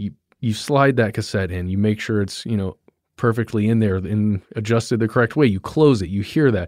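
Very clean with a silent background, the recording carries an ordinary speaking voice at a fairly quick pace with ordinary pitch variation. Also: man, fairly low pitch for a man. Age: 30s. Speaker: podcast producer. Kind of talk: casual interview.

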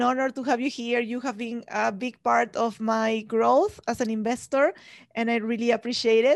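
A woman's fairly high voice with a non-native accent, fairly even intonation and a moderate pace against a quiet background. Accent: foreign-accented English. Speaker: podcast host and real estate investor. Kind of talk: casual interview. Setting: live video call with audience.

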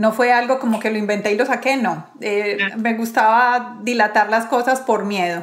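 Fairly high in pitch, a woman with an unremarkable speaking voice talks at a fairly slow pace. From Colombia, Medellín. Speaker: podcast host. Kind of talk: interview conversation; scripted intro. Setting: video call.

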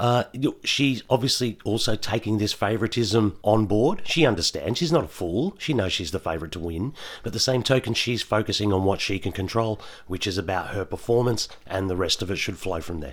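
Speaking at a fairly quick pace, a man uses lively intonation. He has an Australian accent and a fairly low voice. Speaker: podcast co-host. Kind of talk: casual chat.

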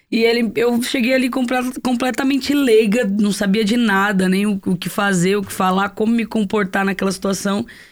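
A woman with an ordinary speaking voice talks at a medium pitch and moderate pace, her intonation fairly even, on a very clean recording with a silent background. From Guarujá, São Paulo coast, Brazil. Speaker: singer-songwriter. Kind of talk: casual interview chat.

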